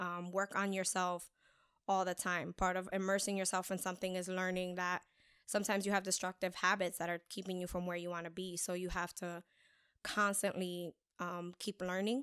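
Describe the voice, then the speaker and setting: On a very clean recording with a silent background and a dry, close sound with no echo, a woman talks at a fairly quick pace and medium pitch in a flat, monotone intonation. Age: 30s. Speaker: podcast host. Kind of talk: casual monologue. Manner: hesitant, many fillers.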